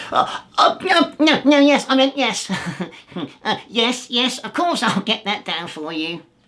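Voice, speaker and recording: Using a put-on character voice, a man speaks fairly slowly at an extremely high pitch with very wide pitch swings. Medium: read story. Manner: grumbling, stammering.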